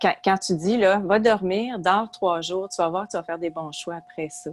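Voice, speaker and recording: At a fairly slow pace, a woman with a Quebec accent speaks at medium pitch with ordinary pitch variation. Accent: Québécois French. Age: 60s. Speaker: retired psychology professor and author. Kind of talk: podcast interview.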